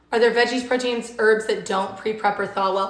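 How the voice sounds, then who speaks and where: A woman with an American accent speaks at a moderate pace in a fairly high pitch with fairly even intonation. Noticeable background noise and audible room echo are present. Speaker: cooking livestream host. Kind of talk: live cooking demo with viewer Q&A. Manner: casual and chatty.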